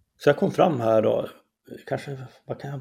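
A man with a medium-pitched, dark, mellow and somewhat breathy voice speaks at a fairly quick pace with ordinary pitch variation. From Norrland, Skellefteå area. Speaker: columnist and debater. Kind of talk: interview conversation. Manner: halting.

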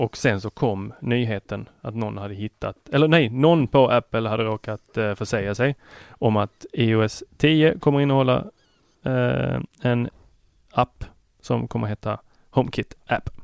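A man with an ordinary speaking voice talks at a fairly slow pace and a medium pitch. His pitch varies in an ordinary way, and the sound is dry and close with no echo. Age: 30s. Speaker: tech podcast guest co-host. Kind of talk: casual chat. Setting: studio.

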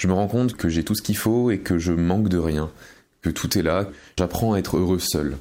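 The man's voice sits at a very deep, low pitch. His intonation stays fairly even. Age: 20s. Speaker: stage magician. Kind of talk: recorded personal testimony.

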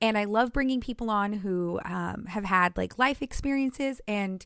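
On a very clean recording with a silent background, a woman uses a normal speaking voice at a fairly slow pace with lively intonation. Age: 30s. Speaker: podcast host. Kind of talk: casual chat.

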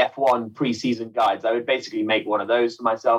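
This is a man speaking. He has an English Midlands accent. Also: quiet background. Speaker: motorsport commentator. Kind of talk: casual chat.

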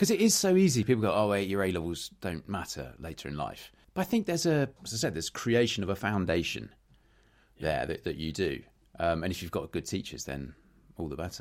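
Speaking at a fairly quick pace with a British accent, a man is heard on a very clean recording with a silent background. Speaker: podcast host. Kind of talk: casual chat.

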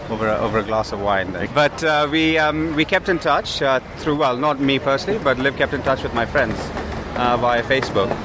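Amid noticeable background noise, the speaker talks at a fairly quick pace with lively intonation. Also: man, fairly high pitch for a man. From India. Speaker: food startup co-founder. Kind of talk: casual chat. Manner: halting.

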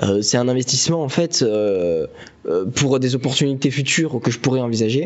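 There is noticeable background noise behind this recording. A man talks at a moderate pace in a medium pitch with ordinary pitch variation. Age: 20s. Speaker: business school student, podcast co-host. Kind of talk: casual chat. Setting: bar basement, phones as mics. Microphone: phone microphone.

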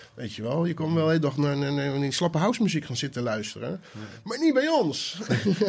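Somewhat breathy, a man races along at a very fast pace with hardly any pauses, a fairly high pitch and very wide pitch swings. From Netherlands, Maassluis area (South Holland). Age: 30s. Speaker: DJ and music producer. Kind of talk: casual chat. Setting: home studio.

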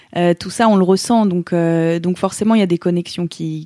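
A woman's fairly low-pitched voice, dark and mellow in tone, at a fairly slow pace with fairly even intonation and a dry, close sound with no echo. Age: 30s. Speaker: yoga teacher. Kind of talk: interview testimony. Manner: hesitant, many fillers and repeated words.

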